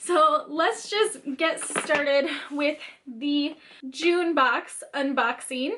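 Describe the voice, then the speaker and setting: Her voice is raised and projected at a high pitch. The woman speaks very slowly with ordinary pitch variation. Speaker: beauty vlogger. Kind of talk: product unboxing. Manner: animated.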